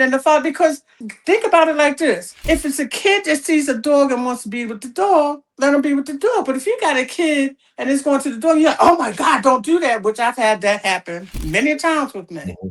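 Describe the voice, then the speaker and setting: A woman's high voice at a fairly quick pace, full of very wide pitch swings. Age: 70s. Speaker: dog trainer and breeder. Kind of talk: interview answer.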